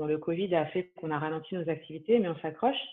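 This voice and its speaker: A woman talks at a very fast pace in a fairly low pitch. Her pitch variation is ordinary. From France, Paris region. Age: 30s. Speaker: real estate asset manager. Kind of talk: interview testimony.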